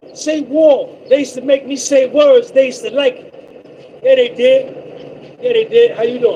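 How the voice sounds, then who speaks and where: A man speaks in an extremely high, animated voice with very wide pitch swings. Long, frequent pauses stand out over noticeable background noise. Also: moderate pace. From Brooklyn, New York. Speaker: live streamer, trucker. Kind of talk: casual live stream chat. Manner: repetitive, animated.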